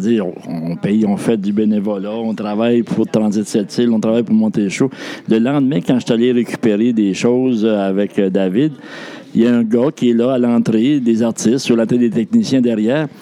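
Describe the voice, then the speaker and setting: A man with a medium pitch is heard over noticeable background noise. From New Brunswick. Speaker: outgoing shelter director. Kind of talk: casual interview.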